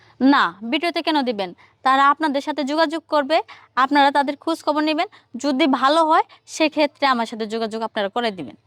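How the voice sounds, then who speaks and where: The voice has ordinary pitch variation, recorded with a dry, close sound and no echo. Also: woman, high pitch for a woman. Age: 30s. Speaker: woman seeking marriage. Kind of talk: interview.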